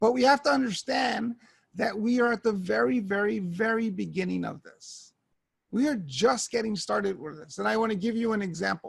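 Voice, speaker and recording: This man has a high voice with lively intonation. He talks at a moderate pace. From New York. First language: Spanish. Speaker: education technology evangelist. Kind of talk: keynote talk.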